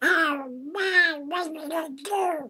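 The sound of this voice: Bright and sharp in tone, this is a put-on character voice. The delivery is slow. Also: ordinary pitch variation.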